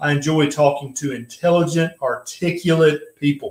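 A man's voice with audible room echo against a quiet background. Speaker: live stream host. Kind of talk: casual live-stream talk and interview intro. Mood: friendly, light humor. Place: home room. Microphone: webcam.

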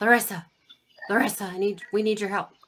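This female-sounding put-on character voice is raspy, sits at a medium pitch, and moves at a fairly quick pace. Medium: actual play. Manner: blunt, exasperated.

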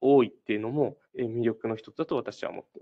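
A man talks at a fairly quick pace and a medium pitch. He has a plain, everyday voice. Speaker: prefectural government employee. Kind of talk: recruitment info session talk. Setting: online web briefing. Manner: formal, with frequent fillers.

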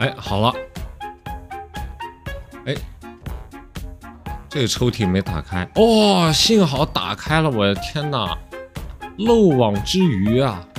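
Over music in the background, a man with a medium pitch talks at a very slow pace, his pitch swinging very widely and his speech broken by long, frequent pauses. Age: young. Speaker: game commentator. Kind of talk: casual gameplay commentary.

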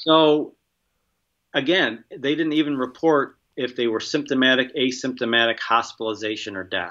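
Medium in pitch and ordinary in pitch variation, a man with an American accent speaks at a moderate pace against a quiet background. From US. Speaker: infectious disease biosafety expert; guest. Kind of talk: interview. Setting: remote call. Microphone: video call.

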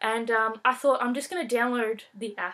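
A woman's fairly high-pitched voice with a fairly bright tone and ordinary pitch variation

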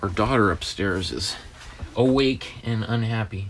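A man at a fairly low pitch and fairly slow pace, with ordinary pitch variation and light background noise. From Canada. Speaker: art teacher. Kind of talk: tutorial. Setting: studio. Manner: animated. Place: home room.

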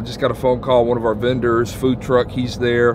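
Noticeable background noise surrounds a man speaking at a fairly quick pace, the sound dry with no echo. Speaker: church leader vlogger. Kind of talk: casual vlog chat. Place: car.

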